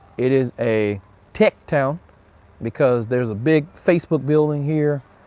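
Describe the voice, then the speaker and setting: At a fairly slow pace, a man with a Mississippi accent speaks in a dark, mellow tone at a fairly high pitch with ordinary pitch variation. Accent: US Southern (Mississippi). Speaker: cigar reviewer, livestream host. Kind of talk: casual livestream chat. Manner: relaxed, chatty.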